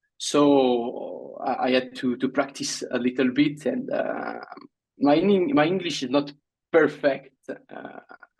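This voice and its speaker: Speaking at a very slow pace, a man talks with a French accent. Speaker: Olympic fencer. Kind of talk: interview. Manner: halting.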